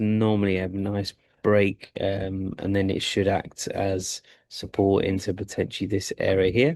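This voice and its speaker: Here a man speaks in a fairly low pitch with a dark, mellow tone and monotone, flat intonation. His pace is fairly slow against a quiet background. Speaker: forex trader streaming live trades. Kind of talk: live trading commentary. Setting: live stream from a sports club. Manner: quiet, subdued; halting, stammering.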